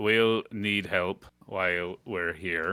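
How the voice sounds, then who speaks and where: Using a put-on character voice, a man speaks at a very deep, low pitch with fairly even intonation. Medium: actual play.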